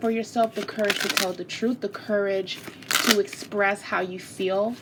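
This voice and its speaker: At medium pitch and a moderate pace, a woman speaks over noticeable background noise. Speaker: tarot reader. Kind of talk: tarot reading monologue. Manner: casual, conversational.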